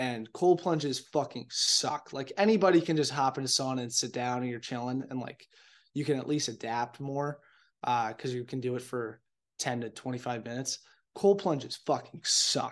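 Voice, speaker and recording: At a moderate pace and medium pitch, the man talks in a plain, everyday voice with ordinary pitch variation. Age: 20s. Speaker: podcast host. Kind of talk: casual monologue. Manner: casual, filler-heavy.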